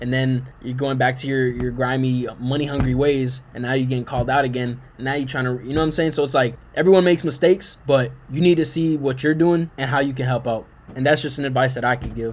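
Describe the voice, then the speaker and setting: Over noticeable background noise, a man talks very fast with fairly even intonation and hardly any pauses. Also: medium pitch for a man. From Puerto Rican American. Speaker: YouTube reaction commentator. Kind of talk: video reaction commentary. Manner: casual slangy.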